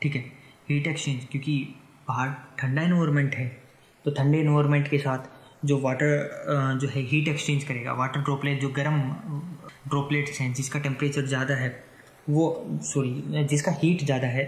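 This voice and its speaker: Monotone, flat intonation marks the speech of a man whose pitch is fairly high. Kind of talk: educational science podcast talk. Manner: unscripted, some stammering.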